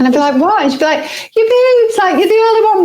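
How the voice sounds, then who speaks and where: This woman speaks with a northern English accent. Her pitch swings very widely. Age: 40s. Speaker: podcast co-host. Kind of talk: casual chat.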